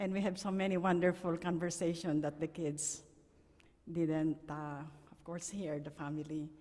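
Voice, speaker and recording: With a Filipino accent, a woman speaks at a moderate pace and fairly low pitch, her fairly even intonation broken by long, frequent pauses and big swings in loudness. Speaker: nurse, coworker of the deceased. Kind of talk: eulogy. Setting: funeral service.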